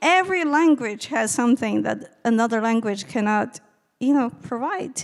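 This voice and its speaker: Her high pitch swings very widely as this woman speaks at a moderate pace. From China. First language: Chinese. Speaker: novelist and lecturer. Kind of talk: audience Q&A answer.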